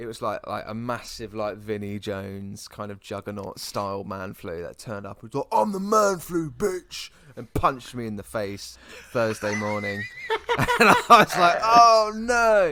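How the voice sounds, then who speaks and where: A man with a British accent talks at a moderate pace with big swings in loudness. Noticeable background noise can be heard. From UK. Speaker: podcast co-host. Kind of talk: casual chat. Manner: animated.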